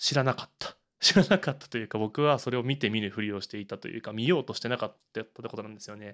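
A man speaks at a very fast pace with hardly any pauses, his medium pitch moving with ordinary variation while his loudness swings widely, on a very clean recording with a silent background. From Urayasu, Chiba, Japan. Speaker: podcast host. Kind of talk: solo monologue podcast. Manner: relaxed.

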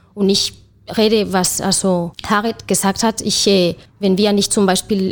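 A woman with a Spanish accent keeps her intonation fairly even. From Spain. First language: Spanish (speaking German). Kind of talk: panel discussion.

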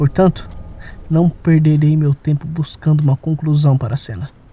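Somewhat breathy with a dark, mellow tone, the voice sounds nervous, moving at a moderate pace in a monotone, flat intonation. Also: man, dry, close sound with no echo. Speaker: audio drama narrator. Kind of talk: dramatic horror narration, first-person confessional tale with sound design. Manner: halting and shaky, with nervous laughter and repeated phrases.

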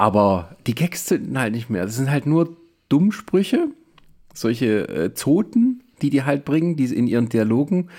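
A man with a dark, mellow tone speaks at a fairly slow pace. His pitch swings very widely in a very clean recording with a silent background. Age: 40s. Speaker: podcast host. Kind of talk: casual film review chat. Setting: in person in the same room.

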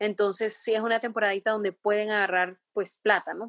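The audio is dry and close, without any echo. A woman delivers her words fairly quickly. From Honduras, San Pedro Sula. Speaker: entrepreneur. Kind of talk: interview.

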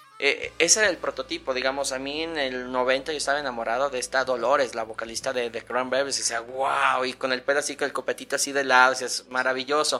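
A man's very fast, fairly even delivery with hardly any pauses, over noticeable background noise. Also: medium pitch for a man. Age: 40s. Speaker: podcast guest. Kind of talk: casual chat.

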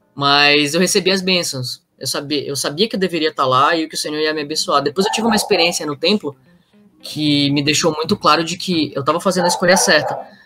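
A man at a very fast pace, fairly high in pitch with ordinary variation, over music in the background. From northern Brazil, Pará. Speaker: returned missionary. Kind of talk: casual interview storytelling. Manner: animated.

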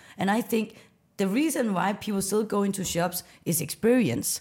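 In a very clean recording with a silent background, a woman speaks with a Danish accent. Her medium-pitched voice is somewhat breathy and moves at a moderate pace. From Denmark, west coast of Jutland. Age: 30s. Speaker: startup founder. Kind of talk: interview.

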